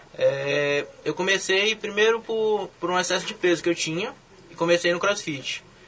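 A man's high-pitched voice with ordinary pitch variation, set against noticeable background noise. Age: young. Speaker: olympic weightlifter. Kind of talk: casual interview.

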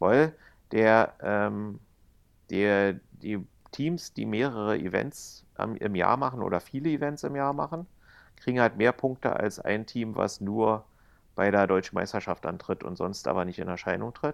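At a fairly slow pace, a man with an unremarkable speaking voice talks at a fairly low pitch with lively intonation. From East Germany. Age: 50s. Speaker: casino employee and dragon boat organizer. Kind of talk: casual chat. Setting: remote call from home, lying on couch.

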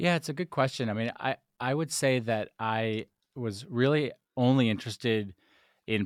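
On a very clean recording with a silent background, a man with an American accent speaks in a normal speaking voice at a moderate pace with ordinary pitch variation. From US, rural Vermont. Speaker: tech company executive and former political campaigner. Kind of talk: interview conversation.

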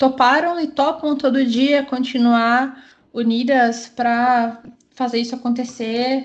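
Very slowly, a woman talks in a high-pitched voice. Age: 30s. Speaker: tech community organizer. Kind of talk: interview.

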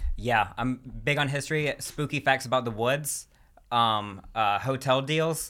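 A man at a medium pitch with an American accent, a bright, sharp tone and ordinary pitch variation, on a very clean recording with a silent background. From US South. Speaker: stand-up comedian. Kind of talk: casual chat. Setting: studio. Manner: fast talker.

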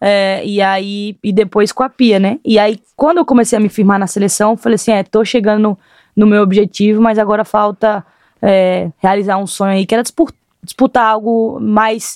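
Recorded with a dry, close sound with no echo, a woman has an unremarkable speaking voice, fairly high in pitch, with fairly even intonation at a moderate pace. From Brazil, Rio Grande do Norte. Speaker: footballer. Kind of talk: interview.

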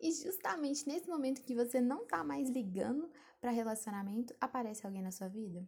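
A high-pitched woman's voice at a fairly quick pace with very wide pitch swings. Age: 20s. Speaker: podcaster. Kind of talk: solo advice monologue. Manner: casual, conversational.

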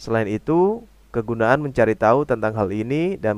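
A man speaks at a moderate pace and medium pitch in a plain, everyday voice. The recording is very clean, with a silent background. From Indonesia. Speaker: language teacher podcaster. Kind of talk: tutorial.

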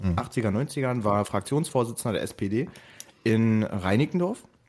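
This man has an ordinary speaking voice, talking at a fairly slow pace and medium pitch with lively intonation and very even loudness. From East Berlin, Germany. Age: 20s. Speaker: podcast host. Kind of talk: casual chat.

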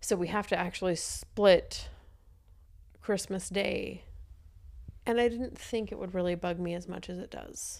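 A woman at a medium pitch speaks with vocal fry, fairly even intonation, big swings in loudness and long, frequent pauses. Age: 30s. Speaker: podcast co-host, divorced mom. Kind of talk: casual chat.

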